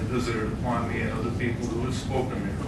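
Loud background noise runs through the clip. A man's voice carries audible room echo. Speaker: public commenter. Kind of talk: public comment speech. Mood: defiant, forceful. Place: hall.

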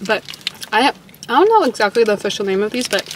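Noticeable background noise accompanies a woman speaking at a very fast pace, the sound dry with no echo. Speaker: vlogger. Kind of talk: casual vlog chat. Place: car. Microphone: phone near.

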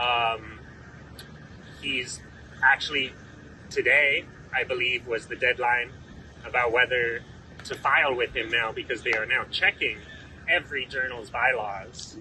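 A man's fairly slow speech with long, frequent pauses and light background noise. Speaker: law student activist. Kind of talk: press conference speech. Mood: earnest, firm. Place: street. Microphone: handheld.

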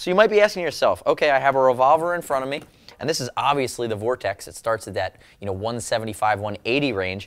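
A man's voice with very wide pitch swings at a fairly quick pace. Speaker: presenter. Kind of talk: product review presentation. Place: studio.

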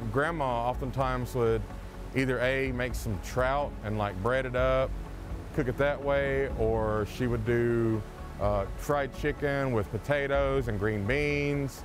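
A man speaks at a very even loudness, with a dry sound and no echo. Clear music plays in the background. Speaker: forager guide. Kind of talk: tutorial. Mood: calm, warm. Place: waterside. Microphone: lapel.

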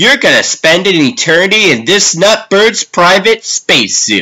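Putting on a raspy character voice, a man projects at a high pitch with lively intonation and a moderate pace. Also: very even loudness. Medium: dub.

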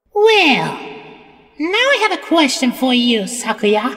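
A put-on character voice, female-sounding and high-pitched, with very wide pitch swings at a fairly slow pace. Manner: bratty, dismissive.

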